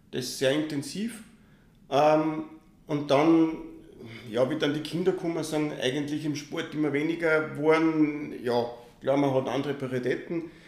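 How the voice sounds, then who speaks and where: Fairly high in pitch, a man speaks at a fairly slow pace with fairly even intonation, over noticeable background noise and audible room echo. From Austria, Linz. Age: 50s. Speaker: triathlon federation president. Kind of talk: podcast interview.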